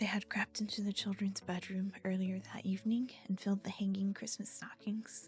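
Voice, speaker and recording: A soft-spoken woman whispers in a soothing tone with hardly any pauses. Music plays in the background. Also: moderate pace. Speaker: ASMR reader / streamer. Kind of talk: bedtime story reading, ASMR. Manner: soft, whispery, soothing.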